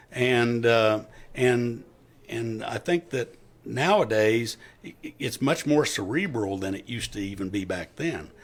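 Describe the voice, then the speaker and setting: A man with an American accent, medium-pitched and fairly slow, lively in intonation, against noticeable background noise. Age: 60s. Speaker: retired police officer. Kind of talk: interview.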